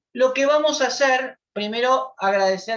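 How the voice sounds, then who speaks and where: A woman uses lively intonation while keeping to a fairly slow pace. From Argentina, southern Greater Buenos Aires. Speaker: lawyer and lecturer on family violence. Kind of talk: lecture. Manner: hesitant, many fillers.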